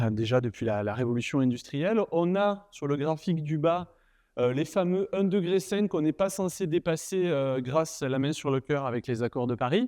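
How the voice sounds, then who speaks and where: In a southern French accent, a man talks at a moderate pace with lively intonation. His fairly high-pitched voice has a dark, mellow tone against a quiet background. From southern France, Nîmes. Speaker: university lecturer and researcher. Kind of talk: conference keynote talk. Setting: stage with audience. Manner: casual, humorous, many fillers.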